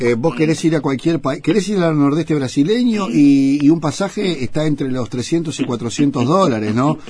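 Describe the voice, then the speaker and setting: A man with a Uruguayan accent and a fairly high pitch talks at a moderate pace, with hardly any pauses. His intonation is lively, and noticeable background noise runs underneath. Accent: Rioplatense Spanish, Uruguayan. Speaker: radio host. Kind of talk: radio interview. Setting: radio studio. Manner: halting, repeats words.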